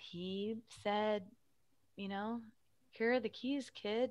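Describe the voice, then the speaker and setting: This woman speaks very slowly, with ordinary pitch variation. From Arizona, Phoenix area. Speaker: theater director. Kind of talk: interview. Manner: hesitant with fillers.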